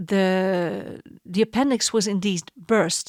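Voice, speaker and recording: A woman speaks with a Dutch accent. The sound is dry and close with no echo, very clean against a silent background. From Netherlands. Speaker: podcast host. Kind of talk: casual monologue.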